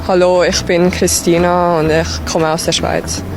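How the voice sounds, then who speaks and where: Over noticeable background noise, a man speaks at a fairly slow pace with very even loudness. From Switzerland. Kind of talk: Swiss Standard German (Hochdeutsch).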